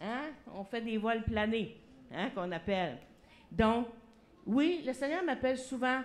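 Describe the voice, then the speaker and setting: Through audible room echo, a woman talks at a fairly slow pace. Her tone is animated, with lively intonation. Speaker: pastor. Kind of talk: sermon. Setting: church.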